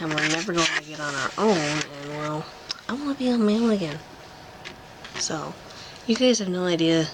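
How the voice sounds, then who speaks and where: The quiet voice moves at a moderate pace with long, frequent pauses over noticeable background noise. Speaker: vlogger. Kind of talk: casual vlog update. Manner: quiet, hushed.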